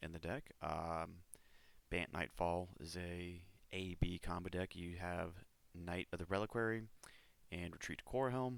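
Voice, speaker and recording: A mumbling man with a very deep, low pitch. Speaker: card game player. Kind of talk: deck tech explanation.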